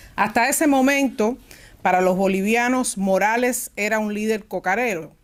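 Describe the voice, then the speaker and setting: A woman with a Cuban accent speaks at a fairly high pitch with ordinary pitch variation. The recording is very clean, with a silent background. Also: moderate pace. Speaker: panelist at a press freedom forum. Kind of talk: forum presentation. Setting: forum at an institute venue.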